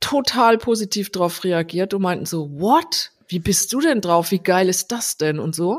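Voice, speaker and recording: Very slow speech from a woman at a medium pitch, her pitch varying in an ordinary way. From Rhineland-Palatinate, Germany (Landau). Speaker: designer and agency founder. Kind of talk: casual interview. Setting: remote call.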